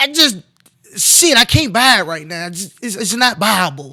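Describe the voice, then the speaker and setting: At a moderate pace, a man speaks in a raised, projected voice with an animated tone and very wide pitch swings. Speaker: sports talk show host. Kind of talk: casual sports commentary. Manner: loud.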